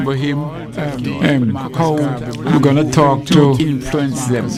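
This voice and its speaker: With music in the background, a man with a fairly high-pitched voice talks very slowly with fairly even intonation. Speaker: radio show host. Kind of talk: live radio talk show hosting.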